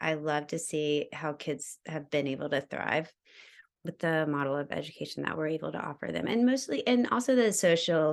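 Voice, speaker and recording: A woman's very deep, low voice with vocal fry, at a fairly quick pace. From US South, Georgia. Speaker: educator. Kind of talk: casual interview.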